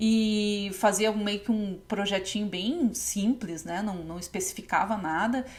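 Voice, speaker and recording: A woman speaks fairly slowly in a medium-pitched, somewhat breathy voice with fairly even intonation. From Novo Hamburgo, Rio Grande do Sul, Brazil. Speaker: textile designer and podcast host. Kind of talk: casual podcast talk.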